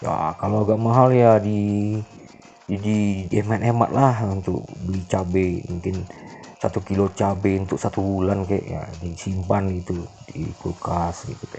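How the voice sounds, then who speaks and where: Against noticeable background noise, a speaker with a Minangkabau accent keeps a fairly even intonation. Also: man, fairly low pitch for a man, fairly slow pace. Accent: Minangkabau-tinged Indonesian. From West Sumatra, Bukittinggi (Minangkabau). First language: Minangkabau (speaking Indonesian). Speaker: vlogger. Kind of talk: walking market vlog narration. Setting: outdoors in traditional market. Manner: casual, halting with fillers.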